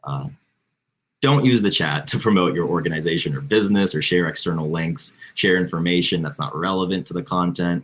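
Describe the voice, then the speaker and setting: Fairly quick and lively in intonation, a man with an American accent speaks in a very deep, low pitch. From Florida, St. Petersburg. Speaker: community organizer. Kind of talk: housekeeping announcements.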